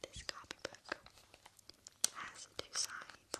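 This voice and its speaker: A woman whispers at a very slow pace. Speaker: ASMR creator. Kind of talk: soft-spoken ASMR chat. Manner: close intimate whisper into mic ear. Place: home room. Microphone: studio mic.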